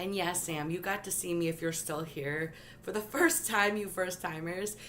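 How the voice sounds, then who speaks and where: A woman speaks at a moderate pace in a fairly low pitch, with an animated tone and ordinary pitch variation. Audible room echo is present. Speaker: tarot reader livestreamer. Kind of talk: live stream tarot reading.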